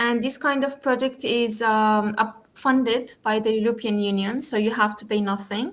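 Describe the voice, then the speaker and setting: A woman with an Arabic accent speaks at a fairly high pitch and a moderate pace. Her intonation is fairly even, with hardly any pauses. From Jordan. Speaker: youth community founder and guest speaker. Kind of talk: online talk. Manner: halting, with frequent fillers.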